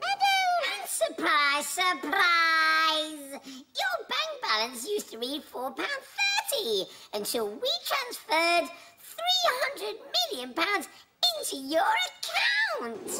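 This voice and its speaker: Squeaky and cartoonish, a character voice moves at a very slow pace over noticeable background noise. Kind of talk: comic overacting. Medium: puppet show. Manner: gushing, over-eager. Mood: frantic.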